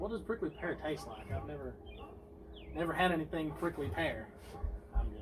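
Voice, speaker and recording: Over noticeable background noise, a man with a Southern US accent talks at a fairly quick pace, with big swings in loudness and long, frequent pauses. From Tennessee. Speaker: friend of host. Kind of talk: casual chat. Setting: outdoors.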